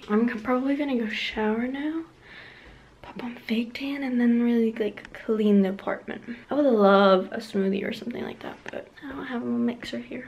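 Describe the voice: A woman talks at a moderate pace with a fairly high pitch and ordinary pitch variation. Audible room echo surrounds her voice.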